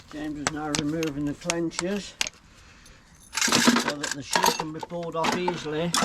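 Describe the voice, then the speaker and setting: Speech at a fairly slow pace comes over noticeable background noise. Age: 60s. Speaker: farrier. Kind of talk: casual chat while working.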